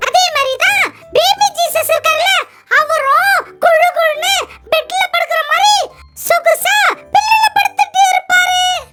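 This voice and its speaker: An extremely high, cartoonish character voice at a very slow pace. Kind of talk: kids puppet show dialogue. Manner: upbeat, comic.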